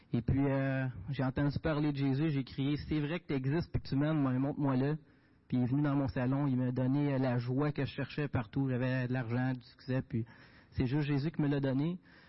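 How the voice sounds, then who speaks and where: A man with a Quebec accent, monotone, flat intonation and very even loudness. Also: fairly high pitch for a man, moderate pace. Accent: Québécois French. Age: young. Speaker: diesel mechanic and volunteer for a Bible-distribution association. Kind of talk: testimony and mission report at a church service. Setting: church.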